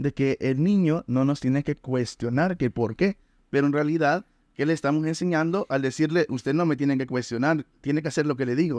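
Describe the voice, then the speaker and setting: Against a quiet background, a man with a fairly high pitch and an unremarkable speaking voice talks at a moderate pace with ordinary pitch variation, the sound dry and close with no echo. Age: 20s. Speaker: podcast host, life coach. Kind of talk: interview.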